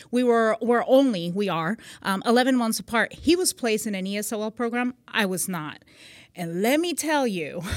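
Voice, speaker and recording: A woman's fairly high voice at a moderate pace, with a slight Puerto Rican accent, in a very clean recording with a silent background. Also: lively intonation. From Puerto Rico. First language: Spanish. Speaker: magazine CEO and military veteran. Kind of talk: casual interview. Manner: warm, laughs often.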